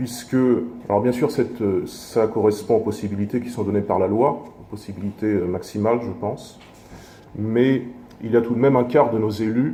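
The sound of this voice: This man has a dark, mellow tone and a fairly low pitch, with ordinary pitch variation at a moderate pace. Room echo is audible.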